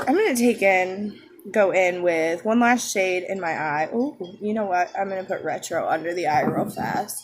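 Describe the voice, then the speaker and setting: A quiet woman's voice at medium pitch, with ordinary pitch variation and noticeable background noise. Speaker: beauty vlogger. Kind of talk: makeup tutorial. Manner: casual.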